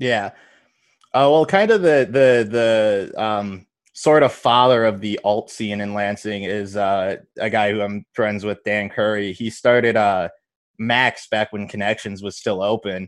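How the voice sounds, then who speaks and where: With a normal speaking voice, a man speaks at a fairly low pitch and a fairly slow pace against a quiet background. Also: fairly even intonation. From Michigan. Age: 20s. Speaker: stand-up comedian. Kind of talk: casual interview.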